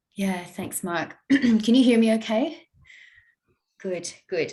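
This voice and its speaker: Someone with an Australian accent speaks at a fairly slow pace in a somewhat breathy voice. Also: woman. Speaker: academic. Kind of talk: conference talk. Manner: hesitant.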